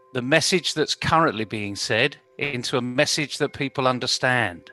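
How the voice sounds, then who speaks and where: With music in the background, the speaker goes at a fairly slow pace with ordinary pitch variation, the sound dry and close with no echo. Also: man. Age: 60s. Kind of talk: panel discussion.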